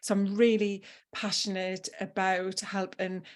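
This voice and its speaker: In a very clean recording with a silent background, a woman with a northeast English accent speaks at a medium pitch in a monotone, flat intonation. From northeast England. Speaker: health habits coach. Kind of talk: podcast interview.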